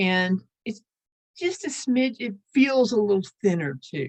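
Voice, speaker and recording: A woman with an American accent talks at a fairly slow pace in a fairly high, somewhat breathy voice. Her intonation is lively. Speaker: lace-making teacher. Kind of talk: online class tutorial. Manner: casual, hesitant with fillers.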